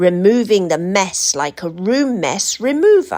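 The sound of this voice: A woman speaks at a fairly slow pace, her pitch making big swings.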